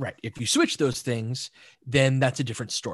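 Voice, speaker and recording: The voice is somewhat breathy with ordinary pitch variation, captured in a dry, close sound with no echo. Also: man. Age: 40s. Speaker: basketball analyst. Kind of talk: casual chat.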